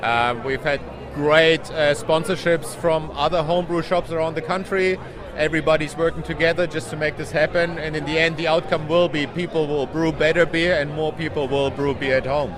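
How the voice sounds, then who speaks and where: A man with a German accent and a fairly high voice speaks with fairly even intonation amid noticeable background noise and audible room echo. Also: fairly quick pace. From Germany. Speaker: homebrew shop owner and conference organiser. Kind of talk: interview.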